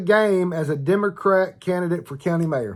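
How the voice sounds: This man's voice sits high in pitch and has a fairly bright tone. His intonation is lively.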